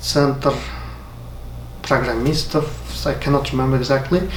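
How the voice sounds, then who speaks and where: A man speaks with an Uzbek accent. The room echo is audible, and there is noticeable background noise. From Uzbekistan. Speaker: software developer. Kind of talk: motivational talk. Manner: halting.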